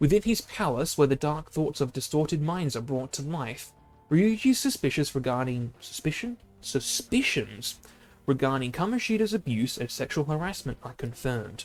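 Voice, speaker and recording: Music plays behind a man speaking at a moderate pace. His fairly high pitch swings very widely. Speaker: video game streamer. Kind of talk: reading aloud. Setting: live stream. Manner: halting.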